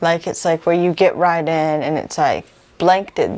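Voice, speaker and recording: A woman speaks in a monotone, flat intonation. Music plays in the background. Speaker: singer-songwriter. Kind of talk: casual interview.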